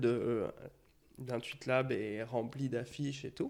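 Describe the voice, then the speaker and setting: Fairly even intonation marks the medium-pitched speech of a man. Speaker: graphic designer. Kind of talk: casual chat. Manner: talkative, flowing.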